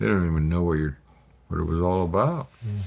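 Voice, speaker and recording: This man's voice sits at a very deep, low pitch. The background is quiet. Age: old. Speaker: former drummer, model maker. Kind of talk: casual storytelling in documentary.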